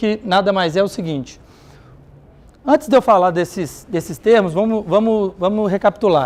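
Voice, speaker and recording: Ordinary pitch variation in a man's high voice. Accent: Minas Gerais. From Minas Gerais, Brazil. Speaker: conference speaker on health technology. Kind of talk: conference presentation.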